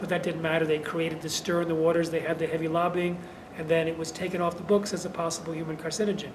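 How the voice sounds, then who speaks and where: A man talks at a very fast pace in a high pitch, his intonation monotone and flat, with noticeable background noise and audible room echo. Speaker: activist author on GMOs. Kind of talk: interview.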